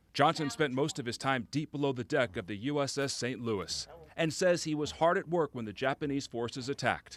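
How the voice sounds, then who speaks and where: This man has an unremarkable speaking voice with a fairly high pitch and ordinary pitch variation. He talks at a fairly quick pace with hardly any pauses. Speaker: TV news reporter. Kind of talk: TV news report.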